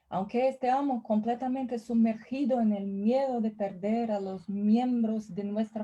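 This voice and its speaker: At a very slow pace, a woman speaks in a somewhat breathy, fairly high voice with a dark, mellow tone and fairly even intonation. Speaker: professor. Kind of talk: lecture.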